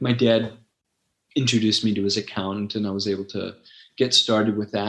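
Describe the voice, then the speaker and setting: A man with an American accent. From Los Angeles, San Fernando Valley. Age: 60s. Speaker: website founder and former ESL teacher. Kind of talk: casual interview conversation. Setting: podcast.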